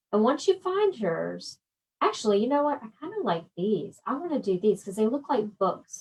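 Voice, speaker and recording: The voice is somewhat breathy, with lively intonation and a slight Southern US accent. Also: woman. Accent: slight Southern twang. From South Georgia / north Florida, US South. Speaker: quilting and embroidery instructor. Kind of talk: live-stream tutorial. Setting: Facebook live stream. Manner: casual, chatty.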